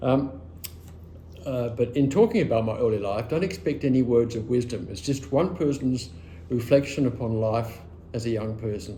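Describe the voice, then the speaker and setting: Medium-pitched and somewhat breathy, a man speaks at a moderate pace with ordinary pitch variation and a dark, mellow tone, with audible room echo around him. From Australia, rural western Victoria. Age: 70s. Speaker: oral history interviewee. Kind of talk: oral history interview, personal reminiscence. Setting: at his home.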